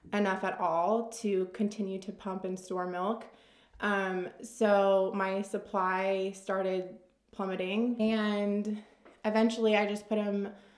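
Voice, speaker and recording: A woman's monotone, flat delivery at a very slow pace, with a quiet background and audible room echo. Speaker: lifestyle vlogger. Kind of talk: casual Q&A chat. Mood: relaxed, candid. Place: home room.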